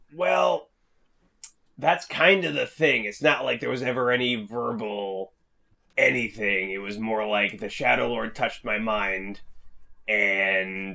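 A man puts on a raspy character voice at a fairly low pitch. He moves at a fairly slow pace with long, frequent pauses. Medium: actual play. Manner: rambling, earnest.

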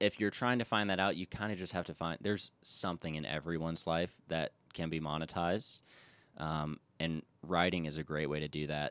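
A man with an American accent talks at a fairly quick pace in a very deep, low pitch. His pitch varies in an ordinary way, and the sound is dry and close with no echo. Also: very clean recording, silent background. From US South, Charleston, South Carolina. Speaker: photographer and writer. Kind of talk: casual interview chat. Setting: studio, video podcast.

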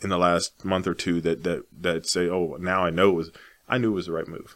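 This man's voice sits very deep and low, and he talks at a moderate pace. The recording is very clean, and the background is silent. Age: 40s. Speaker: realtor. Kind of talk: casual interview. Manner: halting, many repeated words.

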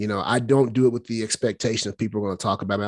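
A man's fairly low voice with fairly even intonation, dry and close with no echo, on a very clean recording with a silent background. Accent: Southern US. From Alabama. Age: 30s. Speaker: strength and conditioning coach. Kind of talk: interview. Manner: casual, many fillers.

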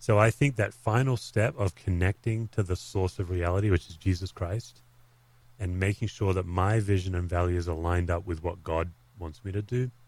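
Over a silent background in a very clean recording, a man with an Australian accent speaks at a moderate pace with very deep, low pitch and fairly even intonation. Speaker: pastor and author. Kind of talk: interview conversation.

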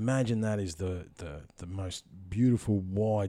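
A man with a fairly low pitch and dark, mellow tone at a fairly slow pace, ordinary pitch variation, on a very clean recording with a silent background. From central Victoria, Australia. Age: 30s. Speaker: podcast host. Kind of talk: casual interview chat. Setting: in-person, guest's house.

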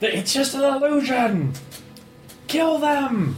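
A put-on character voice shouts at a high pitch and a very slow pace. Clear background noise runs underneath. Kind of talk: commanding. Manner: angry, shouting.

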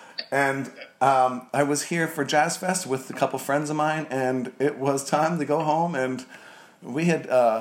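A man talks at a fairly high pitch, his pitch varying in an ordinary way. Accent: American. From New Jersey. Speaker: bar owner. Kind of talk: casual interview.

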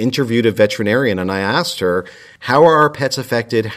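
An ordinary speaking voice: a man with an American accent, talking at a medium pitch with lively intonation. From US, Italian American working-class family. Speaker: climate activist. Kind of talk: casual chat.

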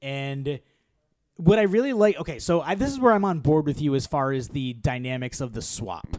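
A man's unremarkable speaking voice, fairly high in pitch, with lively intonation and a fairly quick pace. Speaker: movie podcast co-host. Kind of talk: casual chat. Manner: laughs often.

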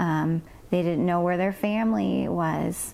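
A woman speaks with an American accent. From Paradise, Northern California. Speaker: elementary school teacher. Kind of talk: testimony.

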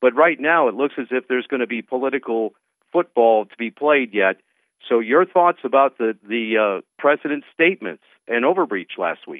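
A man with an American accent has an unremarkable speaking voice at medium pitch. He talks at a moderate pace with lively intonation and big swings in loudness. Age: 60s. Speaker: radio host and advocacy group president. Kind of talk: talk radio interview.

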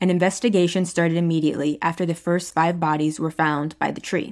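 A woman with an ordinary speaking voice, fairly low in pitch, at a fairly quick pace and with fairly even intonation, on a very clean recording with a silent background. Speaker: podcast host. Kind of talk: true-crime documentary narration. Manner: measured, storytelling tone; conversational, addresses listeners directly.

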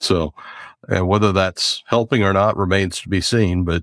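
A man with an American accent speaks at a fairly slow pace in an ordinary speaking voice, fairly low in pitch with fairly even intonation, on a very clean recording with a silent background and a dry, close sound with no echo. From US South, near Charlotte. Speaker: podcast host. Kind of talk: casual interview.

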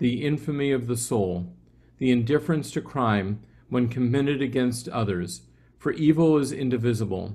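A man with an unremarkable speaking voice talks at a moderate pace, his pitch moving in an ordinary way. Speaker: class participant. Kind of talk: reading aloud.

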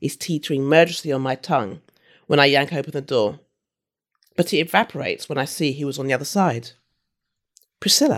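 A woman with a London accent, very deep and low in pitch, ordinary pitch variation, a very fast pace broken by long, frequent pauses, on a very clean recording with a silent background. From London, England. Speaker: novelist. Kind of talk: reading aloud; casual chat.

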